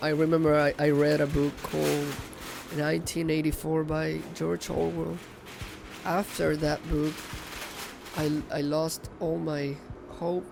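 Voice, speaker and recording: Over noticeable background noise, a man speaks at a fairly slow pace with long, frequent pauses. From Venezuela, Caracas. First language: Spanish. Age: 20s. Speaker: baker. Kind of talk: documentary interview. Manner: halting, repeats words.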